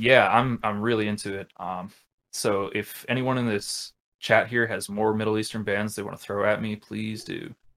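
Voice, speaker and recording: A man delivers his words at a moderate pace in a fairly low pitch with monotone, flat intonation. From US, Rhode Island (Westerly). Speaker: metal band vocalist. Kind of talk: casual chat.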